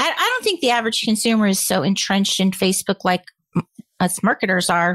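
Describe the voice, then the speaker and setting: Recorded dry and close with no echo, a woman with an unremarkable speaking voice talks at a medium pitch with fairly even intonation. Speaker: co-host.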